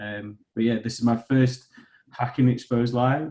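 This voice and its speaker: A man's dark, mellow voice at medium pitch and a fairly slow pace. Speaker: security researcher. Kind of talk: webinar guest introduction.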